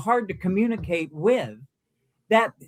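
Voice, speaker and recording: A man with a high pitch, in a dry, close sound with no echo. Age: 80s+. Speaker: victim's relative. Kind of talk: interview. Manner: halting.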